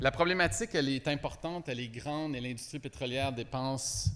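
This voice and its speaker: A man with a strong French-Canadian accent talks at a fairly quick pace and medium pitch, with ordinary pitch variation. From Quebec, Montreal. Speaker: company executive. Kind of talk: business presentation.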